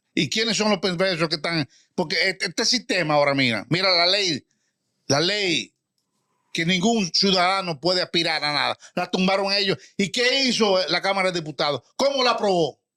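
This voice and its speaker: A man speaks in a raised, projected voice with high pitch and an animated, bright, sharp tone, his loudness very even and his pitch varying in an ordinary way. The pace is moderate, and the sound is dry and close with no echo. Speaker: retired general, political commentator. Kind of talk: heated debate.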